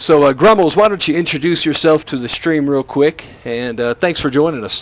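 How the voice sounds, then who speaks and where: This man has an American accent and a fairly high pitch. There is noticeable background noise behind him. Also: ordinary pitch variation. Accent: southern drawl, comes out sometimes. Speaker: esports commentator. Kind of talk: live commentary.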